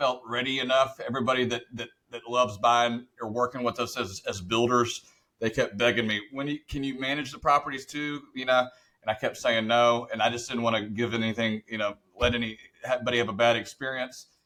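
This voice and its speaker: A man speaks in a plain, everyday voice at a medium pitch. His intonation stays fairly even. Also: fairly quick pace. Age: 30s. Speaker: real estate investor and builder. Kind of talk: podcast interview. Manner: casual, with fillers and restarts.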